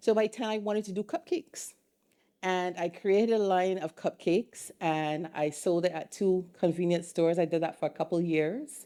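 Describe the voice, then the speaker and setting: Over a silent background in a very clean recording, a woman of medium pitch speaks at a moderate pace with a dark, mellow tone and ordinary pitch variation. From Barbados. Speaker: entrepreneur and artisan business owner. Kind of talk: interview.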